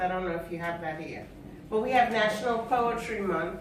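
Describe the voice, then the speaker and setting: Noticeable background noise surrounds a woman's voice. Her pitch varies in an ordinary way. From Trinidad and Tobago, raised in Queens, New York. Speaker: poet. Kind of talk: casual talk to live audience.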